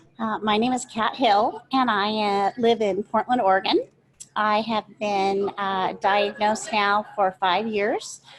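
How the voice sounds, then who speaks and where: A woman speaks with fairly even intonation at a fairly high pitch. It is an ordinary speaking voice. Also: fairly slow pace. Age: 50s. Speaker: Parkinson's patient ambassador. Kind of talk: panel discussion, personal introduction.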